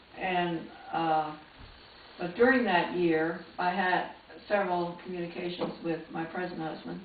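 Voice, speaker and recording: With an American accent, a woman talks at a fairly slow pace and fairly low pitch, her intonation fairly even and broken by long, frequent pauses, amid audible room echo and noticeable background noise. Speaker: retired nurse and nursing teacher. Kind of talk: life story interview. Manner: halting, with many uh fillers.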